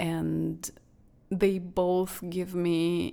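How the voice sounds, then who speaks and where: A woman speaks with a non-native accent. Her medium-pitched voice has a dark, mellow tone. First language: not English. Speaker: podcast host, astrologer and painter. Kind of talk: solo podcast monologue. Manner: halting, with false starts; warm, gentle.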